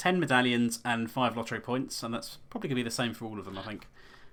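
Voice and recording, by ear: The speaker is reading aloud in a natural voice.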